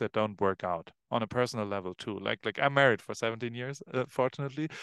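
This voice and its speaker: A man speaks with a German accent at a medium pitch and ordinary pitch variation. The sound is dry and close with no echo, and the background is quiet. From Germany, Heidelberg. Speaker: photographer. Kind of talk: casual chat.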